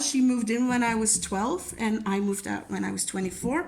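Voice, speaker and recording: Here a woman speaks with a Dutch accent. Her pace is moderate and her pitch variation ordinary. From Belgium. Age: 20s. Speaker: crafting YouTuber. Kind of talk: casual chat. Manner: casual, with many fillers.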